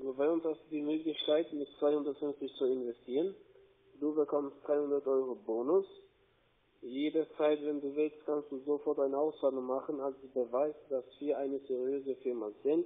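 Flat, monotone intonation marks this man's fairly slow delivery. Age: 40s. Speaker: scam call center agent. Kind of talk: sales pitch. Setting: phone call. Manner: soft-spoken. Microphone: phone line.

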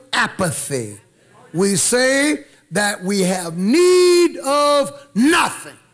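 This is a man speaking. His pitch swings very widely. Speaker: preacher. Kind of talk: sermon. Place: church. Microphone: podium.

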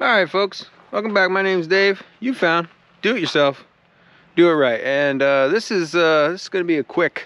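At a moderate pace, a man speaks at a high pitch with ordinary pitch variation, the sound dry with no echo. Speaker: DIY motorcycle vlogger. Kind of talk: casual vlog chat. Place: open country. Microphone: phone near.

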